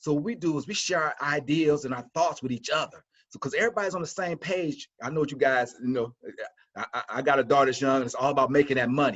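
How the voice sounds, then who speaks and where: A man talks at a very fast pace in an animated tone. His voice is fairly high, with ordinary pitch variation. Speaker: college instructor. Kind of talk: webinar presentation.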